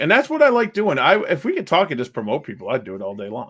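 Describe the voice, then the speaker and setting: A man speaks at a very fast pace. His pitch swings very widely and his loudness shifts a lot. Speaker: reptile breeder channel host. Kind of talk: casual chat.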